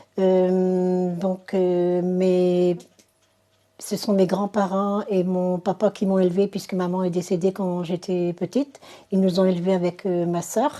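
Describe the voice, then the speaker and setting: Speaking at a very slow pace, a woman with a medium pitch uses a monotone, flat intonation and a dark, mellow tone. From northern France, Dunkirk area. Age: 60s. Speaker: convert to Islam. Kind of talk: testimony.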